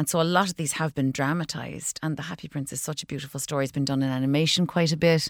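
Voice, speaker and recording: A woman's very deep, low voice in a Cork accent, dry and close with no echo, on a very clean recording with a silent background. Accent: Cork Irish. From Ireland, County Cork. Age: 40s. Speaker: actor and comedian. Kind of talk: casual interview.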